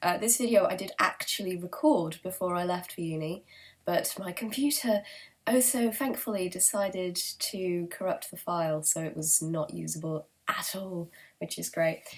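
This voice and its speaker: A woman with a British accent talks at a moderate pace in a medium pitch, her voice somewhat breathy with ordinary pitch variation. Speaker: book vlogger. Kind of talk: casual monologue to camera. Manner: hesitant, many fillers.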